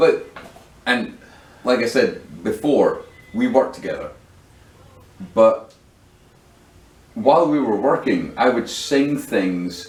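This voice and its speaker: Speech moves at a very slow pace with long, frequent pauses over noticeable background noise. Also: man. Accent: Scottish. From UK. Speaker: podcast host. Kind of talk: casual chat.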